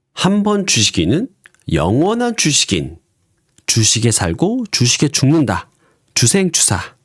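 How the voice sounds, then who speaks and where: Over a very clean recording with a silent background, a man speaks very slowly at a very even loudness, with long, frequent pauses. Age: 40s. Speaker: stock day trader and YouTuber. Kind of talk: scripted narration.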